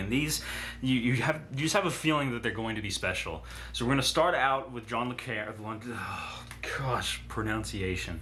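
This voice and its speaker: Over noticeable background noise and audible room echo, a man talks at a medium pitch with ordinary pitch variation. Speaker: booktuber. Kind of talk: casual monologue. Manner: fast; halting.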